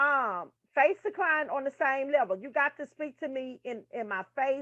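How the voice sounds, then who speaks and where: A woman speaks loudly at a high pitch. Her pace is fairly slow. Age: 30s. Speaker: nursing tutor. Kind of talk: casual lecture reading from a textbook.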